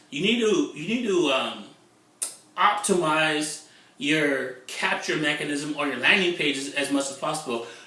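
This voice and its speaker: The speaker uses an animated tone and lively intonation at a fairly slow pace. Noticeable background noise and audible room echo fill the recording. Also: man. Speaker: internet marketer. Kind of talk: vlog monologue.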